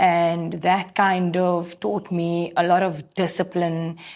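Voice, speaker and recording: A woman speaks very slowly at a medium pitch. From South Africa, Cape Town. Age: 30s. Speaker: interviewee. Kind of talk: on-camera interview. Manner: hesitant, repeats words.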